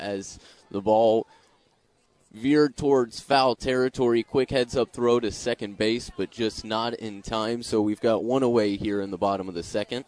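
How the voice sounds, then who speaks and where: Recorded dry and close with no echo, a man with a plain, everyday voice speaks at a fairly slow pace and medium pitch, with fairly even intonation. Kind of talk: live radio play-by-play commentary of a Little League game.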